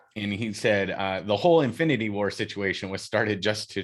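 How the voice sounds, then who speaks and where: A man's fairly low, bright, sharp voice at a moderate pace, with ordinary pitch variation against a quiet background. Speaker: podcast co-host. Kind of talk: casual chat.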